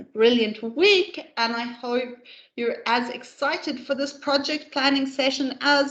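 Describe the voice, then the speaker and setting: In a Namibian accent, a woman speaks at a high pitch with a bright, sharp tone and ordinary pitch variation. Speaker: corporate trainer. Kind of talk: training presentation. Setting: pre-recorded online session.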